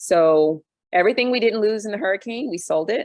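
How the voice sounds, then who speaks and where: A woman with an ordinary speaking voice talks at a moderate pace. Her intonation is lively. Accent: American. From US, Army brat (US and Europe). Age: 40s. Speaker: expat panel guest. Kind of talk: casual panel discussion.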